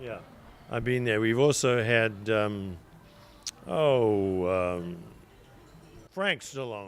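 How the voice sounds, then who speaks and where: A man's fairly low voice with ordinary pitch variation, very slow and broken by long, frequent pauses, with audible room echo. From South Africa, rural then Durban. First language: Zulu. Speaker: restaurant owner. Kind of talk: casual interview chat. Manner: halting, filler-heavy.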